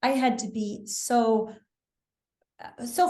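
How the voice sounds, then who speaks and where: This is a woman with an American accent. Her voice is somewhat breathy. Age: 60s. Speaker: wellness author. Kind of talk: interview.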